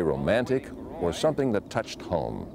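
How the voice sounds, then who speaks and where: Noticeable background noise behind a man, with a dry sound and no echo. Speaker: TV pitchman and announcer. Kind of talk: interview answer. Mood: warm, nostalgic recollection. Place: garden. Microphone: lapel.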